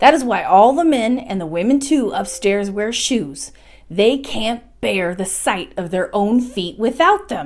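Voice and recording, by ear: The speaker is reading aloud in a natural voice with lively intonation.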